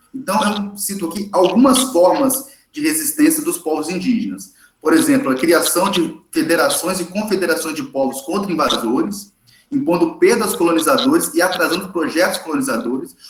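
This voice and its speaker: A man's high voice with very wide pitch swings. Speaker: history teacher. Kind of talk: lecture. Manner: fast; animated.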